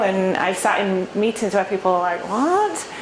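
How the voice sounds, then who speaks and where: A woman's medium-pitched voice with an English accent at a moderate pace, with audible room echo and noticeable background noise. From England. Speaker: startup founder. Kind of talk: Q&A talk at a meetup. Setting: meetup with live audience.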